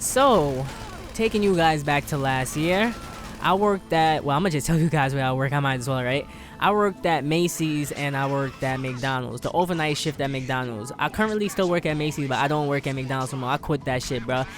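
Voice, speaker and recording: With music in the background, a man talks at a fairly quick pace in an animated tone, his fairly high pitch showing ordinary variation. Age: 20s. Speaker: gaming YouTuber. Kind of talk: casual storytelling.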